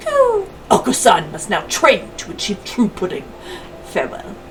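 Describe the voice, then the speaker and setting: Doing a put-on character voice, a woman speaks at a moderate pace over clear background noise. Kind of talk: comic overacting. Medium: game stream. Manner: bombastic, talks about himself in the third person, cooing.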